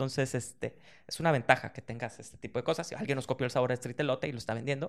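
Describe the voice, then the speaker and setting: A very clean recording carries the voice against a silent background. Its intonation is fairly even. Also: man. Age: 40s. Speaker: snack company founder. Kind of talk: interview.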